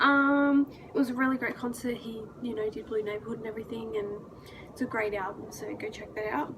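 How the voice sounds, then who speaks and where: A woman's fairly high voice at a fairly quick pace, with ordinary pitch variation, over noticeable background noise. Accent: Australian. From Australia. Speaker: vlogger. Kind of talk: casual vlog recap. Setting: hotel room in New York. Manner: casual with many fillers.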